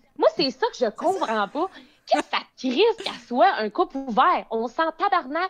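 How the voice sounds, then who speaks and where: A woman with a Quebec accent at a fairly slow pace, very wide pitch swings, and a dry, close sound with no echo, plus music in the background. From Quebec, Beauce. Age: 20s. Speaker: social media influencer. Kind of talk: casual chat.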